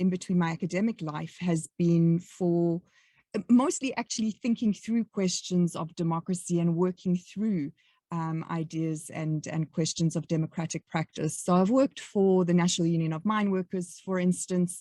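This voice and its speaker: With a South African accent and a dark, mellow tone, a woman speaks at a moderate pace against a quiet background. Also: dry, close sound with no echo. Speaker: academic researcher. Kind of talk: podcast interview.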